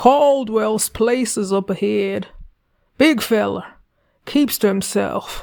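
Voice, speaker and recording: A woman does a raspy put-on character voice at a fairly high pitch. She speaks very slowly, with long, frequent pauses. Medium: read story. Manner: blunt, terse.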